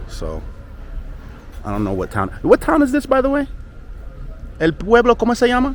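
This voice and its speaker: A fairly quick voice with an American accent over noticeable background noise. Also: man. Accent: American accent when speaking Spanish. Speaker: travel vlogger. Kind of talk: casual travel vlog. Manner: casual, with fillers.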